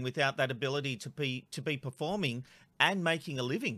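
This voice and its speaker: In a very clean recording with a silent background and a dry, close sound with no echo, a man with an Australian accent speaks in a bright, sharp tone at a fairly high pitch with ordinary pitch variation. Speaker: podcast host. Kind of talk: casual chat; interview.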